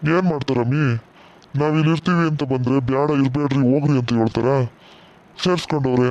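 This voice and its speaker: Doing a cartoonish character voice, a man talks at a moderate pace in a fairly high register. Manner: blunt, scolding.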